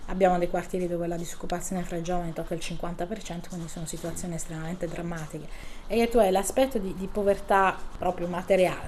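The intonation holds fairly level. Delivery is very rapid. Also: woman, fairly low pitch for a woman. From southern Italy, Bari. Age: 40s. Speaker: local politician. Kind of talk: interview.

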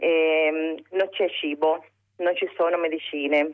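In a Spanish accent, a woman talks at a fairly low pitch. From Cuba. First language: Spanish (speaking Italian). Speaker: caller. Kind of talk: phone-in testimony.

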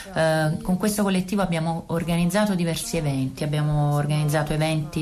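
A woman speaks with a very deep, low pitch and fairly even intonation. Noticeable background noise runs under her voice. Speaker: interpreter. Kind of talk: interpretation.

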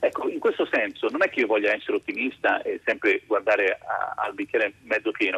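Recorded with a dry, close sound and no echo but noticeable background noise, a man talks at a fairly quick pace. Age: 50s. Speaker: philosophy professor. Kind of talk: radio interview.

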